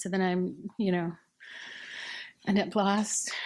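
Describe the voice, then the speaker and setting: A woman's plain, everyday voice, medium in pitch, fairly slow, with fairly even intonation. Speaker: library director. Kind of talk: conference panel presentation.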